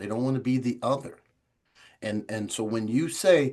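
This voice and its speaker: With an American accent, a man speaks at a moderate pace. His medium-pitched voice shows ordinary pitch variation. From Chicago. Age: 60s. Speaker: recovery organization founder. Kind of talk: podcast interview. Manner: animated.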